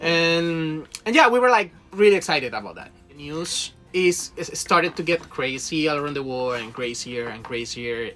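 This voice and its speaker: Over music in the background, a speaker with a Spanish accent goes at a moderate pace with hardly any pauses and big swings in loudness. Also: man, fairly high pitch for a man, lively intonation. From Venezuela. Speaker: cruise ship crew member, video creator. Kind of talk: casual chat. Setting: aboard a cruise ship.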